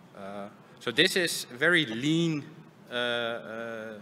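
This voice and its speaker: Over light background noise, a man speaks very slowly with lively intonation. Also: long, frequent pauses. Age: 30s. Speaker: software engineering lead. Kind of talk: conference talk. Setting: stage with audience. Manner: halting. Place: stage. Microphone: headset.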